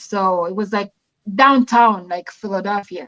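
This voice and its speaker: A woman with an African accent talks at a moderate pace, her pitch varying in an ordinary way. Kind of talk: casual chat. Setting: live stream.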